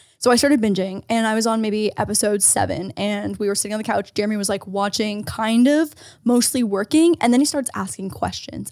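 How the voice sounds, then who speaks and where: On a very clean recording with a silent background, a woman talks at a very fast pace. Her pitch is fairly high. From Canada. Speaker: podcast co-host. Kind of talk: casual chat.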